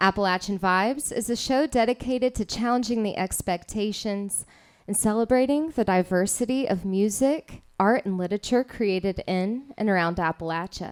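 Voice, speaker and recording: With a normal speaking voice and a fairly high pitch, a woman speaks at a moderate pace with ordinary pitch variation and hardly any pauses, the sound dry and close with no echo. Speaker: radio show host. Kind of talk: live radio show host interview. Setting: live venue, coffee house.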